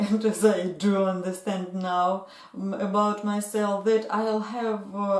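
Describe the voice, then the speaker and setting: Speaking at a very slow pace in a Russian accent, a woman keeps a medium pitch amid noticeable background noise. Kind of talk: casual talk to camera. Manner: hesitant, many fillers.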